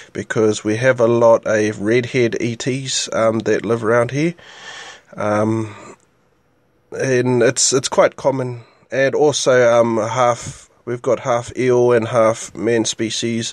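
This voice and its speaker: At a very slow pace, a man speaks at a medium pitch with fairly even intonation. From New Zealand, Gisborne East Coast. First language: Māori. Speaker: podcast host. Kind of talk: casual solo talk show. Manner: hesitant, many fillers.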